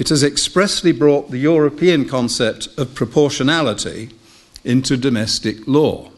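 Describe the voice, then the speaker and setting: A man with an English accent. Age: 70s. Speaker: retired judge. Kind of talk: lecture. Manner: formal. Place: hall. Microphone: podium.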